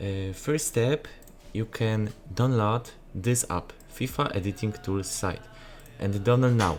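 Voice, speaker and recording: The speaker has a strong Polish accent and ordinary pitch variation. The pace is very slow. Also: man, fairly low pitch for a man. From Poland. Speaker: gaming graphics content creator. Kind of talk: tutorial. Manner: halting, many filler sounds.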